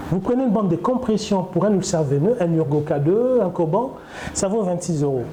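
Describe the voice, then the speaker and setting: Over noticeable background noise and audible room echo, a man talks at a fairly quick pace. His pitch is high, his intonation lively, and his loudness very even. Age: 60s. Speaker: doctor running a wound clinic. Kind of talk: interview during clinic tour. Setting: in a clinic.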